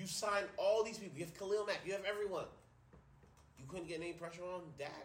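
A high-pitched man talks in an animated tone at a very fast pace, broken by long, frequent pauses. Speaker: sports podcast host and teacher. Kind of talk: angry rant about coaches' play-calling, profanity-laden, emphatic. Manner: loud, fiery, hammering each point.

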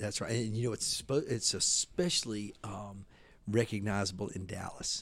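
A man with a Southern US accent speaks at a moderate pace and a fairly low pitch, sounding somewhat breathy. His pitch variation is ordinary, and the recording is very clean, with a silent background. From US South, Mississippi. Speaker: menswear designer and retailer. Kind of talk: interview. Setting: hotel.

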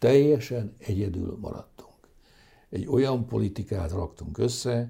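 Somewhat breathy and dark, mellow in tone, a man speaks with lively intonation. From Hungary. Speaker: economist. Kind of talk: interview.

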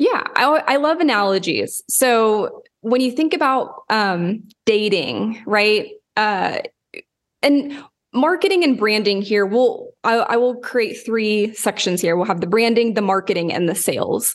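An ordinary speaking voice from a woman with an American accent, fairly high pitch, lively intonation, very even loudness and a fairly slow pace. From Oklahoma, US. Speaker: branding consultant and podcaster. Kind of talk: casual interview.

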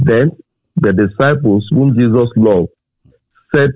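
A man delivers his words fairly slowly, his pitch varying in an ordinary way. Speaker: preacher. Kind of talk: sermon. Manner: fervent, exhortative.

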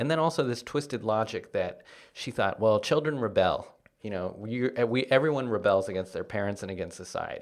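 In an East Coast accent, a man talks at a fairly quick pace. The recording is very clean with a silent background. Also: medium pitch for a man, ordinary pitch variation. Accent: American English, East Coast. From Washington, D.C., US East Coast. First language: Spanish. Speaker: comedian. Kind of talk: casual interview chat.

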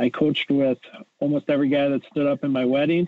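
In an Upper Midwestern accent, a man talks at a medium pitch with monotone, flat intonation. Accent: Upper Midwestern American. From Wisconsin (Edgerton). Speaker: high school football coach. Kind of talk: interview. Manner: hesitant with fillers.

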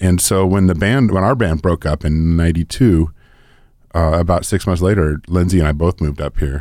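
On a very clean recording with a silent background, a man talks at a fairly quick pace with a very deep, low pitch, a dark, mellow tone and ordinary pitch variation. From Northern California (Oakland, Nevada City). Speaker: recording engineer and studio owner. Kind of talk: casual interview.

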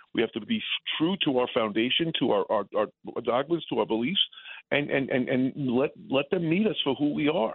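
Lively in intonation and very even in loudness, a man with an American accent speaks at a moderate pace and a fairly high pitch. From New York City, the Bronx. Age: 60s. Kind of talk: radio interview. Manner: halting.

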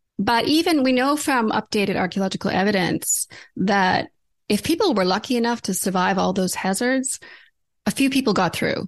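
A normal speaking voice with lively intonation holds a very even loudness over a quiet background. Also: woman, fairly high pitch for a woman, moderate pace. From Alberta, Canada. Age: 50s. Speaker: naturopathic doctor. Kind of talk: interview.

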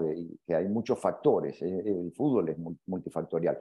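Talking at a fairly slow pace, a man uses ordinary pitch variation. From Argentina. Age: 50s. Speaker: football coach. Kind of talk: interview. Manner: halting, many fillers and repetitions.

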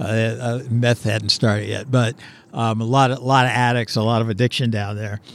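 Moderate-paced speech from a man at medium pitch, in a monotone, flat intonation. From Pittsburgh, Pennsylvania. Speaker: film director. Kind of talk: casual interview. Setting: outdoors on location.

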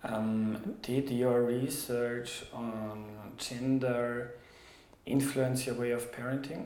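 In a German accent, a man speaks at a very slow pace with monotone, flat intonation and audible room echo. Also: medium pitch for a man. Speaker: podcast host, journalist. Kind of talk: interview.

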